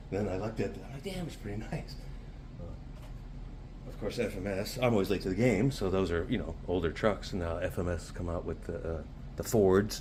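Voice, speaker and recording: A man speaks softly in a very deep, low voice. His pitch varies in an ordinary way, and the room echo is audible. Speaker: RC hobby YouTuber. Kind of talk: casual hobby tutorial vlog. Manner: soft-spoken; fast.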